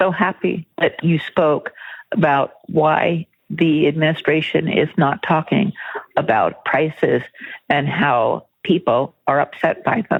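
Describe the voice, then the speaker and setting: This woman has an unremarkable speaking voice with a fairly low pitch. She talks at a fairly slow pace with ordinary pitch variation. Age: 60s. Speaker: caller, school teacher. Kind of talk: voicemail message.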